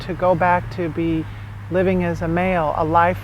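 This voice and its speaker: Moderate pace against noticeable background noise. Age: 40s. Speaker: documentary subject. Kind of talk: interview.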